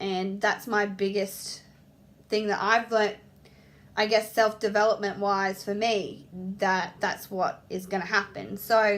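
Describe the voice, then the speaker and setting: A woman speaks at a fairly slow pace with an Australian accent, her medium-pitched voice monotone and flat. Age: 30s. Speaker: apprentice hairdresser. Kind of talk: casual talk to camera.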